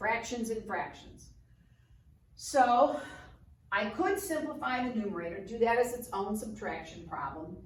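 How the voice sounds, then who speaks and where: A woman's fairly high voice with vocal fry, lively intonation and a fairly slow pace, plus audible room echo. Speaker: math teacher. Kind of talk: tutorial. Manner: casual.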